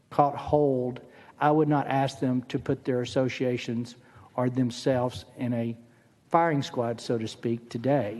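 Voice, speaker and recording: This man has a plain, everyday voice with an American accent and medium pitch. He speaks at a fairly slow pace with fairly even intonation. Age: 60s. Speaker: state senator. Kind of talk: legislative testimony. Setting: committee hearing room.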